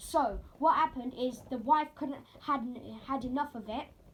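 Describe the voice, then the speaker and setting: Over noticeable background noise, a woman talks at a fairly slow pace. Her pitch is high and her intonation fairly even. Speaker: roleplay gamer explaining story lore. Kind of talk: casual explanation. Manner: halting, many fillers.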